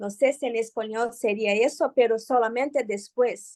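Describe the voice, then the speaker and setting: A woman speaks at a high pitch with a Brazilian accent. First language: Portuguese (speaking Spanish). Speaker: psychoanalyst, seminar participant. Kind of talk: seminar discussion.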